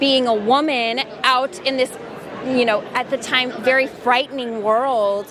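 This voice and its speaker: A woman with an American accent, high-pitched and monotone with flat intonation, at a fairly slow pace and very even loudness, amid audible room echo and crowd noise in the background. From Texas, Paris. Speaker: voice actress. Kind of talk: interview. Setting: convention booth.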